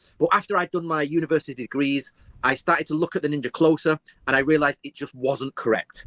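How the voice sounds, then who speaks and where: Speaking at a very fast pace with an English accent, a man uses a fairly high pitch, fairly even intonation and a bright, sharp tone in a dry, close sound with no echo. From England. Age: 40s. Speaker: historian. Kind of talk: interview.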